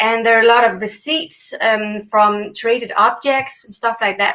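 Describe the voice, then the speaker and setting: This woman has a bright, sharp tone and a fairly high pitch. She speaks at a fairly slow pace with ordinary pitch variation. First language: not English. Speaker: PhD student in Egyptology. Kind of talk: interview. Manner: halting, many fillers.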